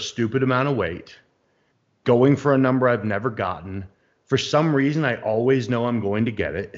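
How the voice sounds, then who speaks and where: A man with an American accent in a plain, everyday voice, at medium pitch and a fairly quick pace, with ordinary pitch variation. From United States. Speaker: bodybuilding podcast co-host. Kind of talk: casual chat. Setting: live stream video call.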